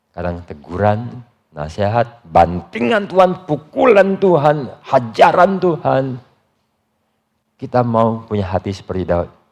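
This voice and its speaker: Talking at a fairly slow pace, a man sweeps through very wide pitch swings. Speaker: pastor. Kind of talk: sermon. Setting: church.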